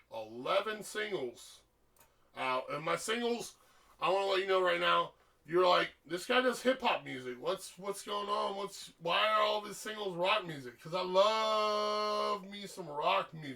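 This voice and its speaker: A man's raised, projected voice, high in pitch, at a fairly slow pace with lively intonation and big swings in loudness, over noticeable background noise. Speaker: musician. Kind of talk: casual monologue.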